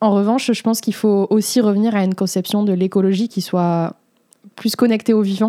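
A woman speaks at a fairly quick pace, her medium pitch held in monotone, flat intonation. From southern France, between Aix and Marseille. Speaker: student and environmental activist. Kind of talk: interview conversation.

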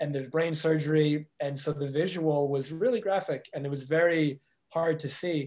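A man with an ordinary speaking voice, pitched fairly high, talks at a moderate pace. His intonation stays fairly even. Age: 30s. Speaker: life coach. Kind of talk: interview.

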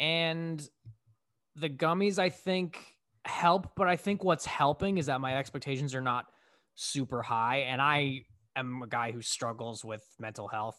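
With a bright, sharp tone, a man speaks at a fairly slow pace and with lively intonation. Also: fairly high pitch for a man, quiet background. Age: 30s. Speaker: podcast co-host. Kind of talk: casual chat.

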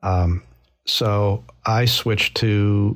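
This man's voice is somewhat breathy, and his pitch varies in an ordinary way. Silence sits behind him in a very clean recording. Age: 50s. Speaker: runner and business leader. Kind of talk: interview.

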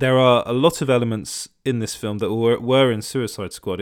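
Fairly even intonation marks the speech of a man with a British accent. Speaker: podcast host reviewing entertainment news. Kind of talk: solo podcast monologue. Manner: frequent hesitations and restarts.

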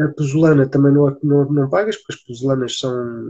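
A man's fairly high, somewhat breathy voice with a dark, mellow tone, fairly even intonation and a fairly quick pace. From Portugal, Alentejo (Beja). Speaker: sustainable tiny-house builder. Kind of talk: live-stream interview.

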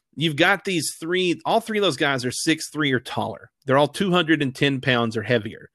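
A man with a Southern US accent, bright and sharp in tone with lively intonation, on a very clean recording with a silent background and a dry, close sound with no echo. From Arkansas, River Valley. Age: 30s. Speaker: former college football fan guest. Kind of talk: casual chat.

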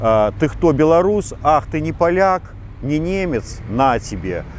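This man's voice sits fairly high and has lively intonation. He speaks at a very slow pace. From Belarus, Molodechno. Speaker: radio host. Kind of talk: interview.

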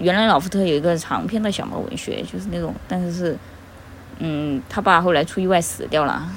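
Fairly quick, fairly low-pitched female voice with ordinary pitch variation and audible room echo. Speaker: fan fiction recommender. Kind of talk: casual chat.

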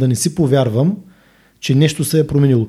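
The man's voice is dark and mellow in tone. It sounds somewhat breathy. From Bulgaria, Burgas. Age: 50s. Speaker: gym owner and fitness trainer. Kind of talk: casual interview chat. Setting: studio.

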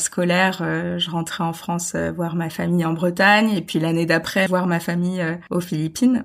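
This is a woman speaking. Her pace is moderate. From international childhood (Gabon, Brazil), French roots. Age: 20s. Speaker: eco-travel advocate. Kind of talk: casual interview. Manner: hesitant, many fillers and repetitions.

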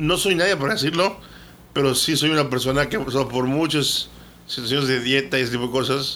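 This is an ordinary speaking voice at a fairly quick pace. Pitch variation is ordinary. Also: man. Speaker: podcast co-host. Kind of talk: casual chat.

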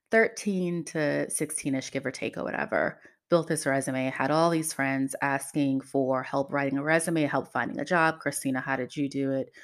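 With an American accent and a very deep, low pitch, a woman talks at a moderate pace in an animated tone, recorded very cleanly against a silent background. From New York, Queens. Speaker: podcast host, HR professional. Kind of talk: casual monologue.

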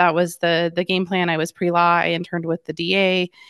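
With an American accent, a woman with a normal speaking voice talks at a moderate pace and fairly low pitch, the sound dry and close with no echo. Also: quiet background. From Colorado, Denver suburbs. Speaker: real estate broker. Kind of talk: interview.

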